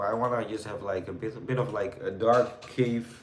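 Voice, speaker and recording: A man's medium-pitched voice, with audible room echo and noticeable background noise. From Netherlands. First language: Dutch. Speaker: live streamer. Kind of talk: casual chat with live chat viewers. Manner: hesitant, many fillers.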